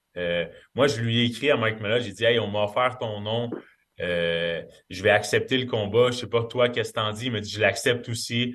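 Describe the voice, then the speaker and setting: Fairly even intonation at a moderate pace. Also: man, medium pitch for a man. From Quebec. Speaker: MMA fighter. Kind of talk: interview.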